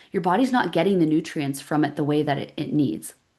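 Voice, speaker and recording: Here a woman speaks with a Canadian accent at a fairly low pitch. Her pitch varies in an ordinary way over a quiet background. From Canada, Calgary. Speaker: women's gut health practitioner. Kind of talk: live webinar presentation. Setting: livestream. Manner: animated, conversational.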